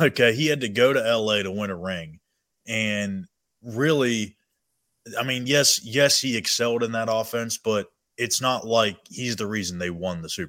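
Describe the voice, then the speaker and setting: On a very clean recording with a silent background, a man with a bright, sharp tone talks at medium pitch and a moderate pace, his loudness swinging widely. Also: ordinary pitch variation. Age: 20s. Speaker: sports reporter. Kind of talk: casual chat.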